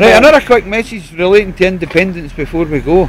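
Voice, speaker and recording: Against noticeable background noise, a high-pitched man with a Scottish accent speaks at a fairly quick pace. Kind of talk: casual street interview.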